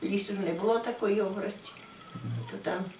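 With a Polesian accent, a woman speaks at a medium pitch over noticeable background noise. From Pinsk district, Brest region, Belarus. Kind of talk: interview answer.

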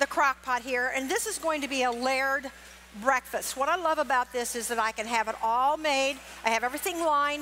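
A woman's raised, projected voice over light background noise. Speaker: cooking demonstrator for a poultry association. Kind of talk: live cooking demonstration. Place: stage. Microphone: headset.

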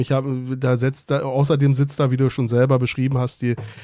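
A medium-pitched man with a dark, mellow tone speaks at a fairly quick pace in monotone, flat intonation, in a very clean recording with a silent background. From Berlin and Brandenburg. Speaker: football fan panelist. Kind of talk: casual chat. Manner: hesitant.

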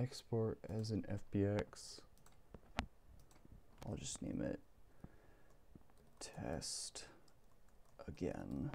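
Quiet and somewhat breathy, a man speaks very slowly in a dark, mellow tone at a fairly low pitch, with very wide pitch swings and long, frequent pauses. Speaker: game developer. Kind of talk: software tutorial narration. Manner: low, quiet late-night voice.

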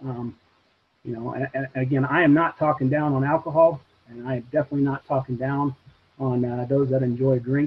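At a moderate pace, a man speaks in a monotone, flat intonation against light background noise. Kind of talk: interview answer. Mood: earnest, reflective. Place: home room. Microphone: video call.

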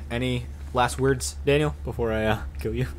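A man talks over noticeable background noise. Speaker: gaming channel host. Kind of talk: casual gameplay commentary. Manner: leans forward close to the mic.

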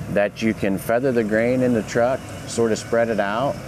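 There is noticeable background noise and a dry sound with no echo. A man speaks at a moderate pace with fairly even intonation. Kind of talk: product demonstration. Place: open country.

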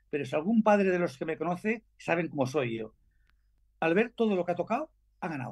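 A man speaks with a high pitch and lively intonation at a fairly quick pace. The background is quiet. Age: 70s. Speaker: racer's father, retired mechanic; guest. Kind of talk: casual chat. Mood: proud, warm, joking. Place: home room. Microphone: video call.

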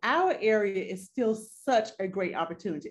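A somewhat breathy woman's voice with lively intonation, at a moderate pace. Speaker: guest. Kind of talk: interview answer. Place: home room. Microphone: video call.

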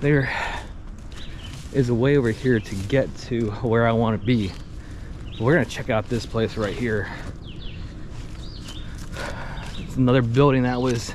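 A man's fairly slow, fairly even delivery with long, frequent pauses, a dry sound with no echo, and noticeable background noise. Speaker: explorer vlogger. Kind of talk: casual vlog chat. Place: forest. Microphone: phone near.

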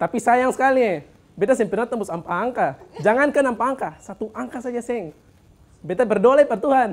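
A man with an Ambonese accent talks at a fairly quick pace. His pitch is extremely high, with ordinary variation. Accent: Ambonese Malay. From Ambon, Maluku; Maluku, Indonesia. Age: 20s. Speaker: stand-up comedian and church worker; stand-up comedian. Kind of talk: stand-up comedy set in Ambonese Malay, storytelling about church-kid student life. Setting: stage with live studio audience. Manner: punchline-driven, playfully self-mocking with local slang. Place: studio. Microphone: handheld.

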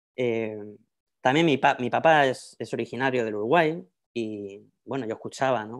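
A man speaks at a moderate pace with ordinary pitch variation. Long, frequent pauses break up his speech against a quiet background. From Spain, Madrid. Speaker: professor. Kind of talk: lecture. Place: home room. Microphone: earbuds.

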